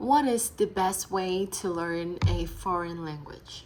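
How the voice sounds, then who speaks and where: This woman's voice sits fairly low. She talks at a very slow pace. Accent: Vietnamese. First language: Vietnamese. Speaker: English student. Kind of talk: speaking practice conversation. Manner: halting, many fillers.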